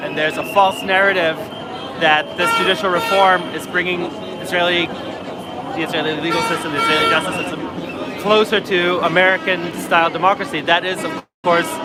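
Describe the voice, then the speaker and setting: Music plays behind a man who talks in a high pitch at a fairly quick pace with fairly even intonation, his voice carrying audible room echo. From Israel. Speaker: protester. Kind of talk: street interview. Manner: fluent, emphatic.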